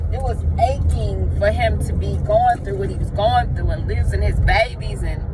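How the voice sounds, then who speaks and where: Speech runs at a moderate pace with hardly any pauses, over noticeable background noise and audible room echo. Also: woman. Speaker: faith vlogger. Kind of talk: casual vlog. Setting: outdoors in the street. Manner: loud.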